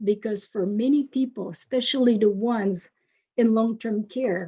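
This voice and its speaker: Somewhat breathy and dark, mellow in tone, a woman with a French accent speaks at a fairly high pitch with ordinary pitch variation. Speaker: university professor. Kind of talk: webinar presentation. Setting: webinar.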